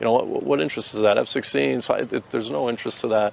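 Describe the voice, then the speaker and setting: With an American accent, a man rattles along very fast while noticeable noise sounds behind him. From US, Boston, Massachusetts. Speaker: soldier, ex-city councilor. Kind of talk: interview. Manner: halting, many fillers.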